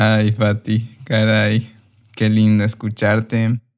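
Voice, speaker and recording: A man is speaking. His voice sits fairly low. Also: very clean recording, silent background. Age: 30s. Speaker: podcast host and coach. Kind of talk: podcast interview.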